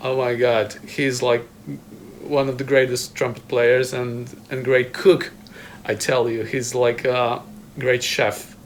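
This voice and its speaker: A man with a Polish accent speaks at a very slow pace. His intonation is monotone and flat, with long, frequent pauses. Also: medium pitch for a man. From Poland. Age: 30s. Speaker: trumpet player. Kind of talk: casual chat. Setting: video hangout in a home. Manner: halting.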